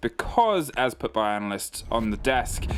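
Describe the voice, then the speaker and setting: A man with a British accent, music playing in the background. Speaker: esports caster. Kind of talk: live commentary.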